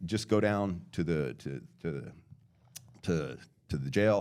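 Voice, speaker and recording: A man speaks in a very deep, low voice with vocal fry. His intonation is lively. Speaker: podcast guest telling his life story. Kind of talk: testimony. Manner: halting.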